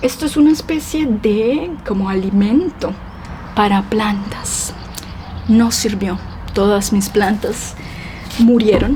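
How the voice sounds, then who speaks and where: A woman with a Colombian accent, a fairly high pitch and ordinary pitch variation, speaking at a very slow pace over noticeable background noise. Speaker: Spanish teacher. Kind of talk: casual vlog talk to camera for language learners.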